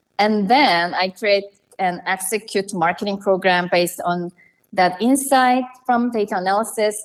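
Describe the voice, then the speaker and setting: The pace is moderate. The speech comes in a Korean accent. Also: woman. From South Korea. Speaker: marketing analytics professional and author. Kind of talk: interview.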